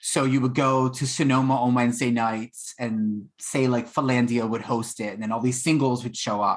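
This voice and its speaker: Over a silent background in a very clean recording, a man with a Philadelphia accent speaks at medium pitch and a moderate pace with monotone, flat intonation. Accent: Philadelphia American English. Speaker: baker and former restaurant worker. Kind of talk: podcast interview. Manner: casual, with many fillers.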